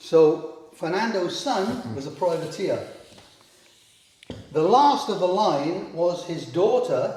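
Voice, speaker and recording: A man in a Welsh accent, high-pitched with lively intonation, at a very slow pace with long, frequent pauses, amid audible room echo and noticeable background noise. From Wales. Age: 70s. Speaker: historic house owner. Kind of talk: guided house tour.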